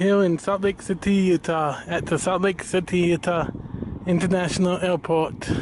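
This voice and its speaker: A man speaks at a high pitch with fairly even intonation. The sound is dry with no echo, over light background noise. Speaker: plane spotter vlogger. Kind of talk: casual vlog chat. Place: street. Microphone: phone near.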